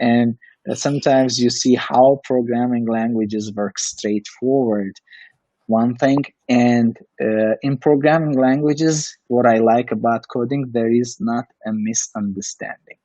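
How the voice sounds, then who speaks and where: A man with a non-native accent speaks at medium pitch. His pace is fairly slow and his intonation fairly even. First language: not English. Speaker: coding instructor and test automation engineer. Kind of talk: casual Q&A chat. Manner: halting, with many fillers.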